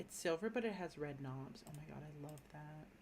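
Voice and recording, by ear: Lively intonation marks this woman's low-pitched voice. She keeps a moderate pace and a slightly mellow tone.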